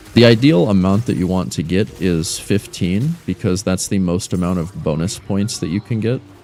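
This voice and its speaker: Over music in the background, a man with a very deep, low pitch speaks at a moderate pace with ordinary pitch variation and hardly any pauses. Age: 30s. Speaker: gaming livestreamer. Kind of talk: casual livestream gaming commentary.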